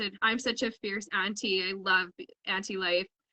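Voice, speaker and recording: In a western Canadian accent, a woman speaks at medium pitch. Her pace is moderate. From Canada, Edmonton, Alberta. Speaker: illustrator and coloring book publisher. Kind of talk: casual chat. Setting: live video stream.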